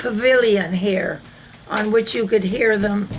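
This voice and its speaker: A woman speaks very slowly with a fairly high pitch. Her intonation stays fairly even over music in the background. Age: 80s+. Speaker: longtime neighborhood resident. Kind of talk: oral history interview answer.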